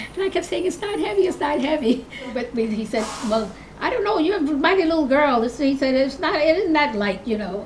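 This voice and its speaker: A woman's high voice with very wide pitch swings at a fairly quick pace, plus audible room echo and noticeable background noise. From New York City, Harlem. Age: 80s+. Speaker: longtime resident, retired teacher. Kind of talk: oral history interview.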